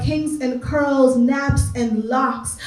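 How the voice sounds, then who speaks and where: Noticeable background noise runs through this clip. A woman speaks at a very slow pace. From Canada (Greater Toronto Area). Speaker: spoken word artist. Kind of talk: spoken word poetry performance.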